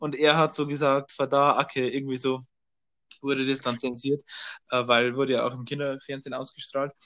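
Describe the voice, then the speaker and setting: A man's fairly high voice at a moderate pace, bright and sharp in tone, with monotone, flat intonation. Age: young. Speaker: podcast co-host. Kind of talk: casual chat. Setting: remote recording.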